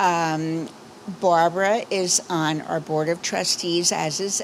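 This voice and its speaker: Speaking very slowly, a woman uses a fairly low voice. Noticeable background noise can be heard. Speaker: synagogue board trustee. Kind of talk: community announcements. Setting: outdoor patio service with microphone. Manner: casual, chatty.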